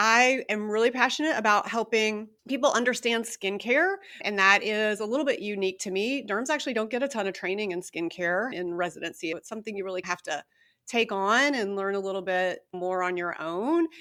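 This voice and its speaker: This woman's voice has a fairly high pitch and a bright, sharp tone, with ordinary pitch variation. She speaks at a fairly quick pace in a very clean recording with a silent background. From Kentucky. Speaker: dermatologist. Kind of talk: interview.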